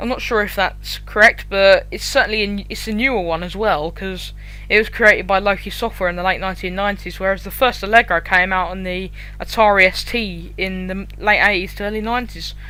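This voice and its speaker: Against noticeable background noise, a woman talks at a fairly quick pace with big swings in loudness. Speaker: programming tutorial YouTuber. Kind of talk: tutorial. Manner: monotone.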